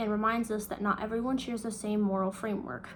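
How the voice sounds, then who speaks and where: A woman with a fairly high pitch talks at a fairly quick pace, somewhat breathy and with fairly even intonation, in a room with audible echo. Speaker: student. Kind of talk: reading aloud.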